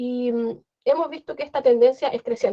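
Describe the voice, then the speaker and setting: A woman's high-pitched voice moves along at a fairly quick clip. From Chile. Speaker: translator. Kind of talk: panel discussion. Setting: video call.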